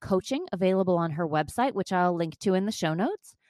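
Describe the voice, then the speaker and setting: A woman speaks in a plain, everyday voice at medium pitch with lively intonation. The sound is dry and close with no echo, against a quiet background. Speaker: podcast host and chakra coach. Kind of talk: interview, with scripted intro.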